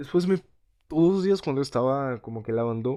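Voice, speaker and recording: A man with a Portuguese accent speaks at a moderate pace in a dark, mellow tone against a quiet background. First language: Portuguese (speaking Spanish). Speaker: language learner vlogger. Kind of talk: casual vlog monologue. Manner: halting, many repetitions and fillers.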